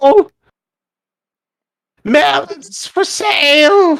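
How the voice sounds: A shrill, high-pitched put-on character voice.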